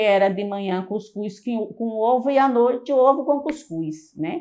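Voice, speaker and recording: Her fairly high voice moving with lively intonation, a woman speaks at a moderate pace. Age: 60s. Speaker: Franciscan lay member recalling a late friend. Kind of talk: personal testimony. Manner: hesitant, with frequent repetitions and fillers.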